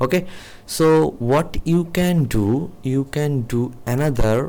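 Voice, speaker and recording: Talking at a very slow pace, a man with a non-native accent uses lively intonation. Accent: non-native English speaker. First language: not English. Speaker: programming teacher. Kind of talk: tutorial. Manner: halting, many fillers.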